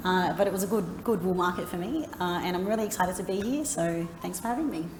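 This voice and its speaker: A woman with a medium pitch talks at a fairly quick pace in an Australian accent, with ordinary pitch variation. Audible room echo and noticeable background noise are present. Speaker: marketing agency founder, panelist. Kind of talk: conference panel discussion. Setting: stage at a conference.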